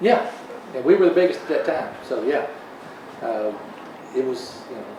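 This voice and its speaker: A man with a fairly high pitch speaks at a moderate pace, his pitch swinging very widely and his loudness shifting greatly. Audible room echo and noticeable background noise fill the recording. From Mount Juliet, Tennessee. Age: 60s. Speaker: tomato farmer. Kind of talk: casual interview.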